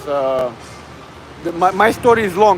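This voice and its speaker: This man speaks with a Bulgarian accent, his voice high in pitch and his intonation lively. Noticeable background noise runs behind him. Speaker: fitness livestreamer. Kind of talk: casual livestream chat. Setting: gym. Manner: halting.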